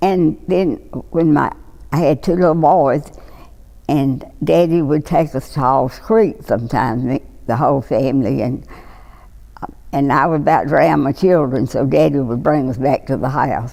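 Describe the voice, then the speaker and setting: In a Mississippi accent, a woman speaks with a very deep, low pitch, vocal fry and a dark, mellow tone. Her pace is fairly slow, her intonation lively, and her pauses long and frequent. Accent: Southern US, Mississippi. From Lawrence County, Mississippi. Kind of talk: oral history interview answer.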